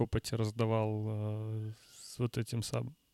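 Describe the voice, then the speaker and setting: The voice belongs to a man. It comes through close and dry, without any echo. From Russian Far East, Vladivostok. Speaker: music producer. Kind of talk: casual chat.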